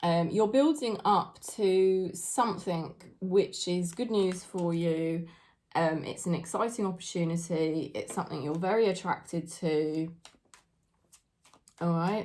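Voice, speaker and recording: With a British accent, a woman talks at a fairly slow pace in a fairly low pitch with ordinary pitch variation. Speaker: tarot reader. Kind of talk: tarot reading monologue.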